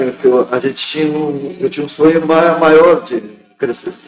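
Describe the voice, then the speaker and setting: Over music in the background, a man talks at a fairly slow pace in a fairly high pitch. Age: 60s. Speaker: union official and factory worker. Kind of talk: interview. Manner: halting.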